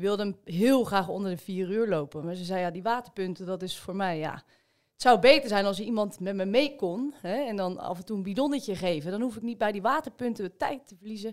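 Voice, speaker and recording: An unremarkable speaking voice moves at a fairly quick pace with lively intonation. The recording is very clean, with a silent background. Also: woman, medium pitch for a woman. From Rotterdam, Netherlands. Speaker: amateur marathon runner. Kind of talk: casual chat.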